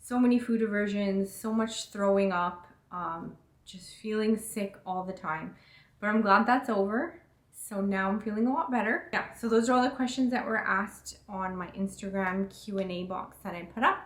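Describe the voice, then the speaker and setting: This woman has a plain, everyday voice at medium pitch. She talks at a moderate pace with ordinary pitch variation. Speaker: fitness and lifestyle vlogger. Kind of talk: casual vlog Q&A.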